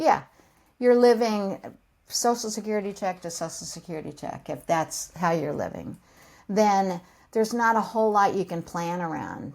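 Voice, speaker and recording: A woman's plain, everyday voice with an American accent, medium in pitch with ordinary variation, at a moderate pace on a very clean recording with a silent background. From California. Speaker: financial coach for seniors. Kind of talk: explanatory interview talk.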